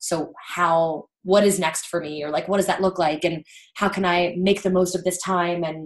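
A woman talks at a moderate pace with an American accent and a fairly low pitch. She has an unremarkable speaking voice. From US, Baltimore area. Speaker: indoor cycling instructor. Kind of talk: casual interview chat.

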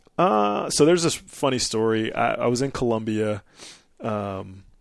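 A man with an American accent speaks at a fairly slow pace in a fairly low voice, a plain, everyday voice. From Nebraska. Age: 30s. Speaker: Air Force officer and military instructor. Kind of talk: casual chat.

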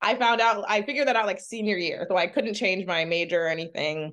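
Over a quiet background, a woman with an ordinary speaking voice talks at a medium pitch with ordinary pitch variation. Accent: American. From Maryland, US East Coast. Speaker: screenwriter and actor. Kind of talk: interview conversation.

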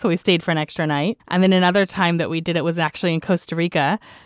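A woman with an American accent, fairly low-pitched, very fast, with fairly even intonation and a dry, close sound with no echo. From Texas. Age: young. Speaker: travel podcast host, entrepreneur. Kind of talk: casual interview chat.

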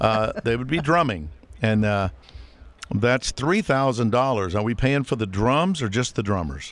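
In an unremarkable speaking voice, a man talks at a moderate pace with a medium pitch and lively intonation. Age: 40s. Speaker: podcast co-host. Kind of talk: casual chat.

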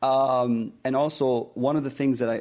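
At a moderate pace, a man talks with a dark, mellow tone and fairly even intonation. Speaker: entrepreneur, panelist. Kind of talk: panel discussion. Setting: stage with live audience. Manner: halting, repeats words.

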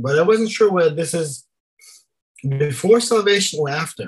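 Speaking with a German accent, a man uses lively intonation. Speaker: church planter. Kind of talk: casual discussion of song lyrics.

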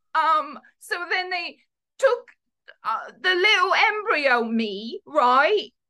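A woman uses a put-on character voice at a high pitch with a bright, sharp tone. Her pace is slow, and her intonation is lively.

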